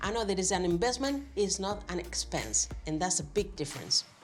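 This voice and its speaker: A woman with a Spanish accent speaks over noticeable background noise. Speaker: YouTuber giving advice. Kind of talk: casual vlog talk to camera. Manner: hesitant, with fillers.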